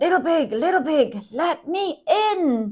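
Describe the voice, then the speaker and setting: A put-on character voice bellows loudly at a fairly slow pace. It sounds squeaky and high in pitch. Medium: read story. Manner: loud, bellowing.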